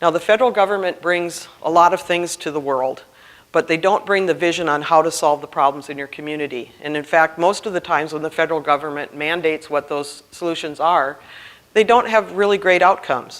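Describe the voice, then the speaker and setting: The speaker talks at a fairly quick pace in a Minnesota accent. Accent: Minnesota accent, still noticeable. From Minnesota, Duluth. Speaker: grants compliance trainer, CPA. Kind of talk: conference presentation.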